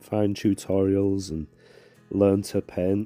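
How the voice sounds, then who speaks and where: Music plays in the background as a man speaks at a fairly slow pace. The sound is dry and close, with no echo. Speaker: watercolour painting tutor. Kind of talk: casual tutorial talk.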